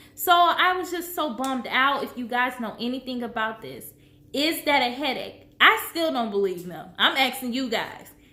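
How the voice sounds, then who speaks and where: Her pitch is high and her intonation lively. The woman's tone is bright and sharp, with audible room echo around her. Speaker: vlogger sharing health journey. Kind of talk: personal vlog. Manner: slow, halting with pauses for breath; trips over words.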